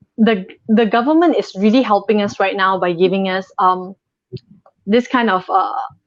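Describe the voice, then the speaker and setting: A woman with a plain, everyday voice speaks at a moderate pace and medium pitch, her intonation fairly even. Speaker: model. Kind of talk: live interview.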